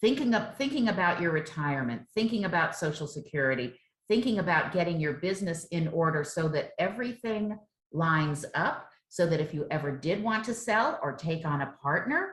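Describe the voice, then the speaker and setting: A woman with an American accent speaks at a fairly quick pace in a fairly low, somewhat breathy voice with lively intonation. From South Florida. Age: 60s. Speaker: chef and business owner. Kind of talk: interview.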